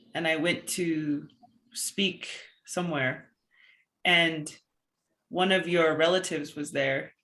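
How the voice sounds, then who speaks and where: Bright and sharp in tone, a woman with an American accent speaks very slowly at a fairly low pitch, her intonation fairly even and her pauses long and frequent. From Dene (Navajo) Nation, US Southwest. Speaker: poet. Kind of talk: casual remarks before a poetry reading.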